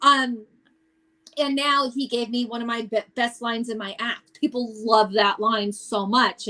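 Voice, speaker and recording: Her tone is animated, bright and sharp. This woman speaks at a high pitch. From US, Italian-American family. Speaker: stand-up comedian. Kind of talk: casual chat.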